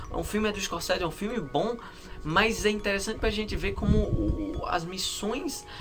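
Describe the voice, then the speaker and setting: A man with a Brazilian accent talks at a moderate pace. Music plays in the background, and room echo is audible. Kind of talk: casual monologue to camera. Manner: calm; halting.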